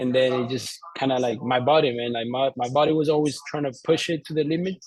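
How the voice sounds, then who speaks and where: A man talks with a Colombian accent at a fairly quick pace. His intonation is fairly even. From Colombia, Bogotá. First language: Spanish. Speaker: entrepreneur, former soccer player. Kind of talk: interview. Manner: halting, many fillers and repeats.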